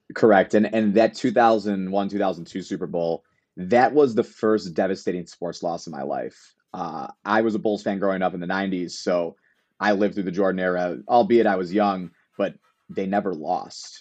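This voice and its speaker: With an American accent, a man speaks in a plain, everyday voice at a fairly low pitch and moderate pace, with ordinary pitch variation. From US Midwest, Chicago. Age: 30s. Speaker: sports fan guest. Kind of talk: casual chat.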